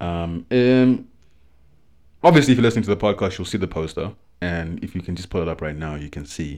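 Over a silent background in a very clean recording, a man with a very deep, low pitch speaks at a fairly quick pace with lively intonation, big swings in loudness, and long, frequent pauses. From South Africa. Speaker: podcast co-host. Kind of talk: casual chat.

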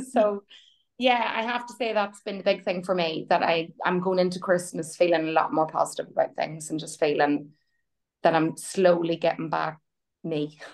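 A woman talks in a plain, everyday voice at a fairly low pitch. Her pace is moderate, with ordinary pitch variation. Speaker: program member. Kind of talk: group coaching call. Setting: video call.

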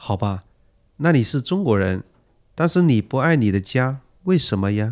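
On a very clean recording with a silent background, a man speaks at a medium pitch. His pitch swings very widely, and he takes long, frequent pauses. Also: moderate pace. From China. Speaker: language textbook dialogue performer. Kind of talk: reading scripted role-play dialogue aloud; casual chat.

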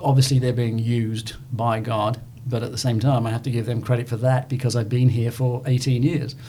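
A man with a British accent speaks at a moderate pace and medium pitch. His intonation is monotone and flat, and his voice is somewhat breathy. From southern England. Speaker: church member and former Marine. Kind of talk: interview testimony. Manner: storytelling.

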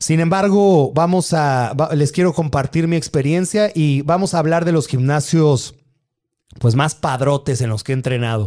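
A man's fairly high voice, dark and mellow in tone, fairly slow, with ordinary pitch variation against a quiet background. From Mexico, Atizapán, Estado de México. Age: 30s. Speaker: bodybuilder and fitness influencer. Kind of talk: livestream Q&A. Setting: live stream.

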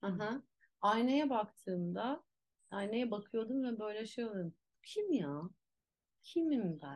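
Speaking at a very slow pace with long, frequent pauses, a woman uses a fairly high pitch and very wide pitch swings. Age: 40s. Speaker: actress and movement teacher. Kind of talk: casual chat. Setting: at home.

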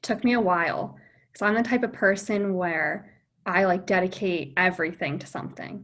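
A woman with an American accent speaks at a moderate pace in a plain, everyday voice of medium pitch. Her pitch varies in an ordinary way, while her loudness swings widely. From New Jersey. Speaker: optometry student. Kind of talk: interview. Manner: casual with fillers.

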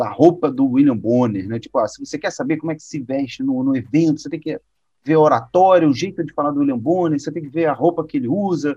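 A man's normal speaking voice, fairly high in pitch, at a fairly quick pace. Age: 30s. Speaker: presentation design instructor. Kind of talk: casual interview.

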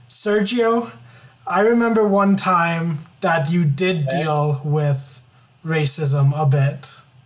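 In a room with audible echo, a woman speaks at a very slow pace and fairly low pitch, with lively intonation and very even loudness. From Ontario, Canada. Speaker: podcast co-host. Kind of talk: casual chat.

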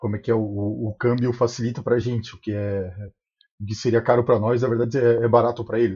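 A man talks at a very fast pace in a medium pitch, somewhat breathy and with monotone, flat intonation. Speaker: podcast co-host. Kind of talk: podcast interview.

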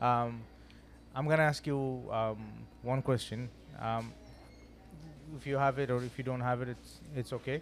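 With music in the background, a man speaks in a flat monotone, leaving long, frequent pauses. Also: medium pitch for a man, moderate pace. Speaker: podcast host. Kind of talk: casual interview. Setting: studio. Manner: loud; halting.

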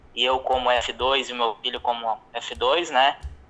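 A man's fairly high voice at a very slow pace. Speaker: caller planning to move to the US. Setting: phone call.

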